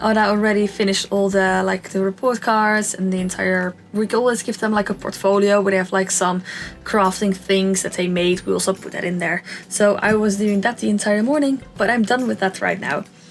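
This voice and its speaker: With a non-native accent and a medium pitch, a woman talks at a fairly quick pace with fairly even intonation. Music plays in the background. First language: not English. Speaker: Sims speed-build YouTuber. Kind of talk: casual gameplay commentary. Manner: chatty, with many fillers.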